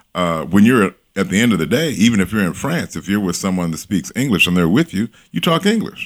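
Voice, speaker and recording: A plain, everyday voice from a man, fairly low in pitch, with lively intonation at a fairly quick pace. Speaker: workplace image coach. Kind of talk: casual interview conversation.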